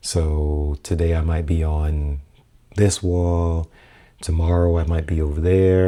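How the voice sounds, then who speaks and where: Soft-spoken, monotone delivery with flat intonation and a dark, mellow tone on a very clean recording with a silent background. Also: man. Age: 40s. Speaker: podcaster and photographer. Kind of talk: casual vlog talk. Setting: home apartment room. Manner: soft-spoken, low; halting, many fillers. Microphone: new audio setup being tested.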